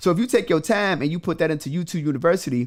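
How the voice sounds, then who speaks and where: A man speaks at a very fast pace with a high pitch, an animated tone, and lively intonation. The recording is very clean, with a silent background. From Chicago, south side. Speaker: credit repair entrepreneur and mentor. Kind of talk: podcast interview.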